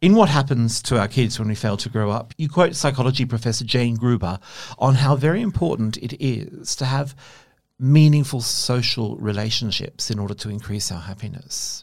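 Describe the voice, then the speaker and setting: This very clean recording with a silent background has a man speaking at a moderate pace in a medium pitch, somewhat breathy, with ordinary pitch variation. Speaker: podcast host. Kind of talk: interview conversation.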